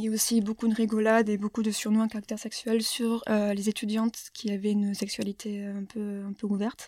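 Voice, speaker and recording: A woman speaks at a fairly quick pace with a dark, mellow tone. Her fairly high pitch carries monotone, flat intonation. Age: 20s. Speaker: former engineering student. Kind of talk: testimony. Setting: studio.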